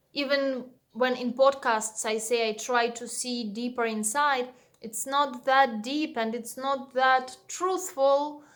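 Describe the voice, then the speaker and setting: With a non-native accent, a woman speaks at a high pitch and very slow pace, her intonation fairly even. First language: Russian. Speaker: meditation teacher and vlogger. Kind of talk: personal channel overview monologue. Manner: hesitant, frequent fillers.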